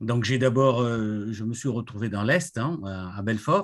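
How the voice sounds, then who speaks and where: A man speaks against a quiet background. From Congo-Brazzaville (Pointe-Noire). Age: 60s. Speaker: retired IT director, association president. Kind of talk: interview.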